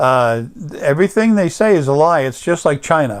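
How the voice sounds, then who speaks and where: The speaker has an American accent and a moderate pace. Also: man. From US Northeast, Long Island, New York. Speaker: political commentator. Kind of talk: monologue rant. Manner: halting, many fillers.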